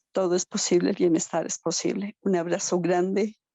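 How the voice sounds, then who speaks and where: A woman speaks at a fairly slow pace with a fairly low pitch and ordinary pitch variation. Her voice carries vocal fry. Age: 60s. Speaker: participant in survivor support talk. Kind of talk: emotional audience comment in video meeting.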